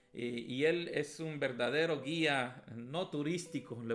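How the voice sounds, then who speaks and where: A man with an ordinary speaking voice, fairly high pitch and ordinary pitch variation. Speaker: pastor teaching a Bible class. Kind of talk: Bible lesson. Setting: at home, streamed.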